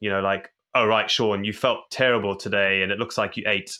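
Bright and sharp in tone, a man speaks at a fairly low pitch. His intonation is monotone and flat. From Zimbabwe. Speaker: endurance athlete. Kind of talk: interview.

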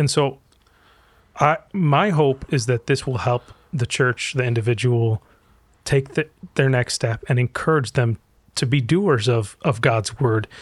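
A man speaks at a fairly slow pace and medium pitch, somewhat breathy, with long, frequent pauses, ordinary pitch variation and very even loudness. The recording is very clean with a silent background, and the sound is dry and close with no echo. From Egypt, raised in US from childhood. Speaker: pastor and author. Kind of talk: interview conversation.

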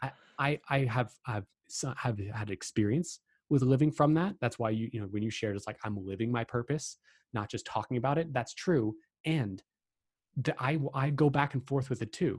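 Somewhat breathy, a man talks at medium pitch and a moderate pace with ordinary pitch variation, over a quiet background. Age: 20s. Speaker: life coach. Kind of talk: interview.

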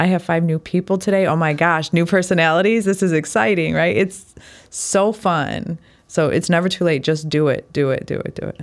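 A woman's plain, everyday voice, fairly low-pitched, at a moderate pace with ordinary pitch variation, on a very clean recording over a silent background. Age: 40s. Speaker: medical esthetician. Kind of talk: casual chat.

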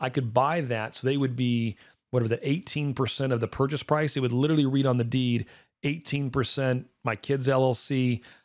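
This man talks at a fairly quick pace in an animated tone, his medium pitch showing ordinary variation, on a very clean recording with a silent background. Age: 40s. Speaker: finance podcast host. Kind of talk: casual chat.

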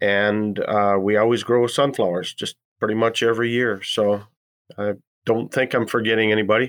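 With an Upper Midwest accent, this man talks at a medium pitch in a monotone, flat delivery. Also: moderate pace. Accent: Upper Midwest American. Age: 60s. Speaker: farmer. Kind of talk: interview.

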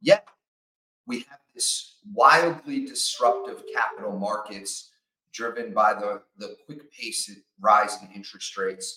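A man speaks at a fairly slow pace, his loudness rising and falling sharply. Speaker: podcast host. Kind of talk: interview conversation.

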